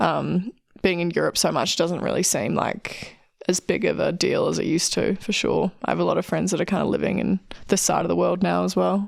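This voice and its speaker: A woman with a New Zealand accent at a fairly quick pace, loudness very even throughout. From New Zealand, Queenstown. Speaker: alpine ski racer. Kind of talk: interview. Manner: casual, many fillers.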